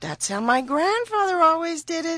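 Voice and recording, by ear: Using a put-on character voice, the speaker swings widely in pitch with a fairly bright tone at a moderate pace. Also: woman, extremely high pitch for a woman.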